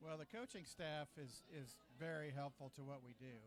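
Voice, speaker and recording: This man has a fairly high pitch, a moderate pace and fairly even intonation. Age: 60s. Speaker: alumni booster club leader. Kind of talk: interview. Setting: restaurant. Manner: halting.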